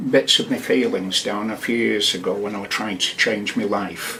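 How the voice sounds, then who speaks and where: Noticeable background noise fills the recording. A man is the one talking. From northern England, Wigan and Blackpool. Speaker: poet. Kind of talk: radio interview. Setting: studio. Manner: halting.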